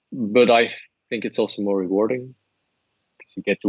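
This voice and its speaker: Here a man speaks with a Flemish accent. His pace is fairly quick. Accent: Flemish Dutch accent in English. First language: Dutch. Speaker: translator and language course creator. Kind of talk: interview. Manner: hesitant, with fillers and repetitions.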